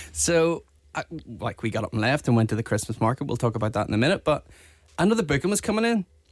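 Talking very fast, a man at a medium pitch makes very wide pitch swings. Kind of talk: casual chat.

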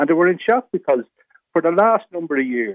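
Very fast speech in a north Dublin accent. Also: man. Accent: Irish (rural north Dublin). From North County Dublin, Ireland. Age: 70s. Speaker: residents association representative. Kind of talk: radio interview. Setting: phone call.

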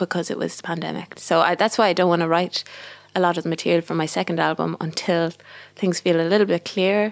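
Speaking at a very fast pace in a west of Ireland accent, a woman uses a fairly low pitch and monotone, flat intonation. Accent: west of Ireland Irish. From Ireland, Galway. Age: 20s. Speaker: singer-songwriter. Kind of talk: casual interview chat. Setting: recording studio.

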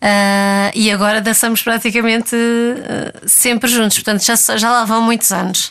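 A woman's fairly high, monotone voice with flat intonation, very even loudness, hardly any pauses and a fairly slow pace. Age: 30s. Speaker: ballet dancer. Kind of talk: interview. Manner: halting.

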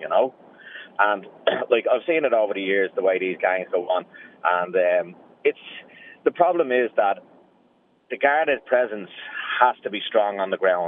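Speaking at a fairly quick pace with a Dublin accent, a man leaves long, frequent pauses. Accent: Dublin Irish. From Dublin, Ireland. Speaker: radio caller. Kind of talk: radio phone-in. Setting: phone call.

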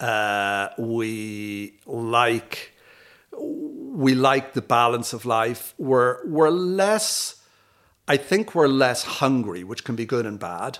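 A man with a Dublin accent talks very slowly at medium pitch, with ordinary pitch variation. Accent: South Dublin Irish. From Dublin, Ireland. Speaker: chief executive. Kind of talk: casual chat.

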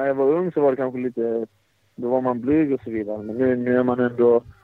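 His intonation stays fairly even. A man is talking, his pitch in the medium range. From Sweden, Blekinge. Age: 20s. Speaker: professional footballer. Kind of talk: interview. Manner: halting.

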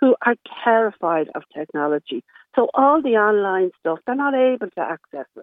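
Her fairly high voice, in an Irish accent, swings very widely in pitch as this woman talks. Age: 70s. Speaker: caller, social care worker. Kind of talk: radio phone-in discussion. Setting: phone call.

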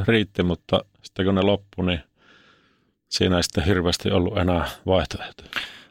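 A man with a very deep, low pitch speaks at a moderate pace, the sound dry and close with no echo in a very clean recording with a silent background. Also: very even loudness. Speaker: former ice hockey player and reality show contestant. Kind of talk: interview about mental health. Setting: studio. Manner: casual colloquial.

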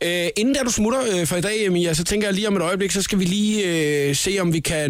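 A man is heard talking against clearly audible background noise. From Funen, Denmark. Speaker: radio host. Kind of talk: casual radio chat. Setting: radio studio.

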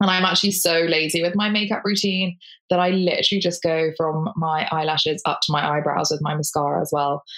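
This is a normal speaking voice at a fairly quick pace. Loudness stays very even, and the intonation is fairly even. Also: woman, fairly low pitch for a woman. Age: 30s. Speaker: digital creator. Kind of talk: casual chat.

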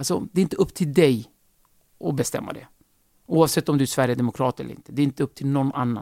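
A man speaks with a dark, mellow tone at a fairly high pitch, with ordinary pitch variation. The sound is dry and close with no echo, on a very clean recording with a silent background. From Kurdish region of Turkey, raised in Sweden from age 8. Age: 40s. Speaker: comedian. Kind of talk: casual interview.

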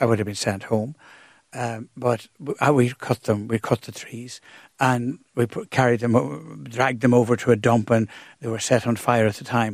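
A man's voice in a dry, close recording with no echo, big swings in loudness, and long, frequent pauses. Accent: Irish. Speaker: priest. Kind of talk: radio interview. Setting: studio.

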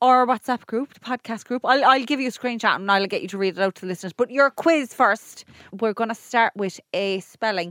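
Recorded very cleanly against a silent background, with a dry, close sound and no echo, a woman speaks at a fairly quick pace in a fairly high pitch with ordinary pitch variation. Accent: Irish. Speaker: podcast co-host. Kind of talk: casual chat.

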